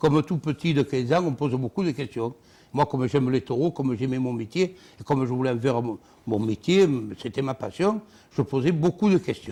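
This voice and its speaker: This man's voice has a dark, mellow tone at a medium pitch, with lively intonation. He moves at a moderate pace, with big swings in loudness. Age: 60s. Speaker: former bull herdsman, bull-racing figure. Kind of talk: TV interview, personal anecdote. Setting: TV studio.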